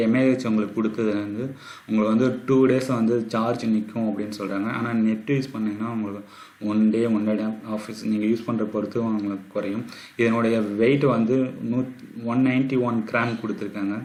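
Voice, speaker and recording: Soft-spoken and monotone, with flat intonation, a man talks at a medium pitch over noticeable background noise. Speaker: tech YouTuber. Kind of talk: phone review talk to camera.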